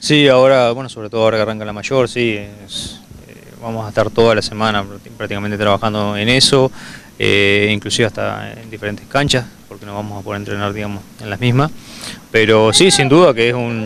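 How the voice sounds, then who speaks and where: A man talks at a fairly quick pace with a fairly low pitch and fairly even intonation. The sound is dry with no echo, over light background noise. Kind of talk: interview answer. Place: open country. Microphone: handheld.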